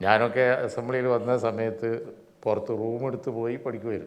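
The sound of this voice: At a fairly quick pace, a man talks with a medium pitch and little pitch movement.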